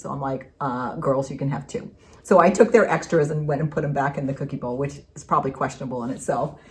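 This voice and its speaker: A woman speaks very fast in a very deep, low pitch. Her voice is somewhat breathy. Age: 60s. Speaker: craft video co-host, retired middle school teacher. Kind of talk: casual chat.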